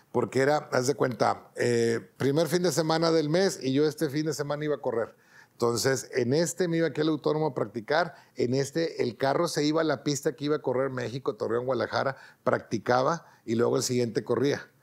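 Speaking with a Mexican accent at a fairly quick pace, a man with fairly high pitch and ordinary pitch variation keeps his loudness very even against a quiet background. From Mexico. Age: 50s. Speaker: racing driver; interviewee. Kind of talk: interview monologue. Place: home room.

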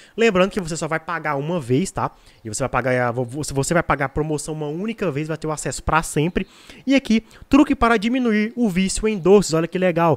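Pitched high for a man, his voice swings very widely in pitch as he talks at a fairly quick pace. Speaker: product promoter. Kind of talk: sales pitch. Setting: video, online. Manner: persuasive, repetitive, pitchman style; halting, filler-filled. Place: home room. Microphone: studio mic.

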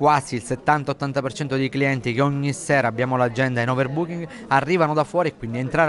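A man speaks at a very fast pace with fairly even intonation. Light background noise can be heard. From Sicily. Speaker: chef. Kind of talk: interview answer. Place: hall. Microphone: lapel.

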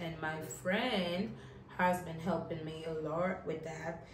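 A woman speaks at a fairly low pitch. Audible room echo and light background noise are in the recording. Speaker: travel vlogger. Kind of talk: casual vlog chat. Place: home room. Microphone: camera far.

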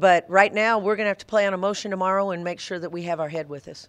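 A woman speaks at a fast pace with medium pitch. Her intonation stays fairly even.

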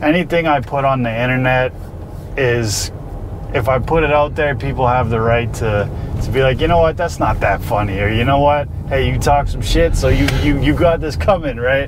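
A man speaks at a moderate pace with ordinary pitch variation, the sound dry with no echo and noticeable background noise behind him. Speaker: guest. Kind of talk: casual storytelling interview answer. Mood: relaxed, laughing. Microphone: lapel.

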